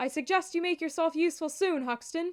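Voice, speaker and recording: Using a put-on character voice, a woman speaks at an extremely high pitch and a fairly quick pace with fairly even intonation, in a dry, close sound with no echo. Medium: read story. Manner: commanding, brisk.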